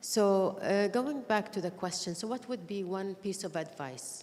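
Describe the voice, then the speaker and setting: A woman's medium-pitched voice, fairly slow in pace, with ordinary pitch variation. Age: 60s. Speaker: tech leader. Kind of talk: award panel remarks.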